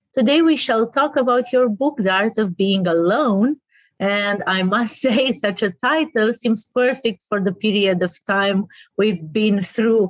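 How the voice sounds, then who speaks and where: A woman with a Romanian accent speaks slowly-ish at a fairly high pitch and very even loudness, the sound dry and close with no echo. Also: lively intonation. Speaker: interviewer. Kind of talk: interview. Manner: hesitant, with frequent fillers.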